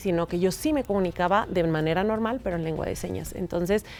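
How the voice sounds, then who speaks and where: This woman's voice sits at a medium pitch with ordinary pitch variation. She talks at a fairly quick pace. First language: Mexican Sign Language (speaking Spanish). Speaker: sign language interpreter. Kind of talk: interview.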